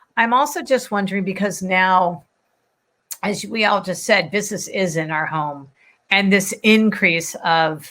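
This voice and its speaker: Loud and fairly slow, a woman speaks in a bright, sharp tone with ordinary pitch variation. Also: medium pitch for a woman. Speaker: panel moderator, business leader. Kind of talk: live online panel discussion.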